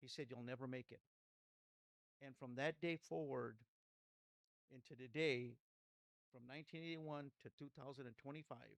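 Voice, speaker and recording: The voice carries an American accent and fairly even intonation. The sound is dry and close, with no echo. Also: man. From Los Angeles area, California (Pico Rivera). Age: 60s. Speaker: pastor. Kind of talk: testimony. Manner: halting.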